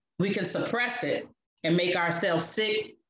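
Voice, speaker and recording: In a normal speaking voice with an American accent, the speaker goes at a moderate pace with ordinary pitch variation. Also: woman. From Chicago South Side. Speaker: podcast host, relationship coach. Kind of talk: podcast talk introducing poems.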